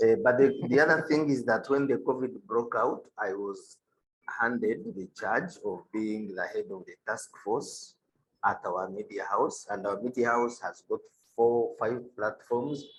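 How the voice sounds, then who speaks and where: A man speaks at a fairly slow pace, his loudness swinging widely. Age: 50s. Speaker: senior science editor. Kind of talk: panel discussion. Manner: halting.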